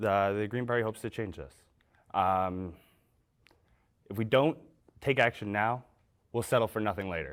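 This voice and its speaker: With a Canadian accent, a man speaks at a moderate pace in a fairly low pitch with ordinary pitch variation and long, frequent pauses, captured in a very clean recording with a silent background. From London, Ontario, Canada. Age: 20s. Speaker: election candidate. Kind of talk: debate statement. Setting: college TV studio.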